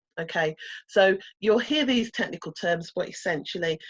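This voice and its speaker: In a Brummie accent, a woman speaks at a moderate pace with a fairly low pitch. The sound is dry and close with no echo, and the background is quiet. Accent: Brummie (Birmingham). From England, Birmingham. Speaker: coding instructor. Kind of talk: online workshop lecture.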